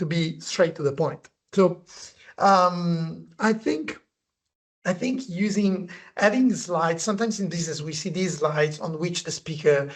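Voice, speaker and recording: A man with a non-native accent talks at a high pitch and a moderate pace. His pitch variation is ordinary. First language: not English. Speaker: presentation design consultant and author. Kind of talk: webinar conversation. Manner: halting.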